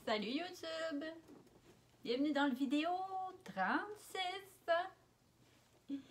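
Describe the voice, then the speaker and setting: In a Quebec accent, the speaker talks at a very slow pace with lively intonation and long, frequent pauses. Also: woman, high pitch for a woman. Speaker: vlogger. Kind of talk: casual talk to camera. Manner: playful, joking.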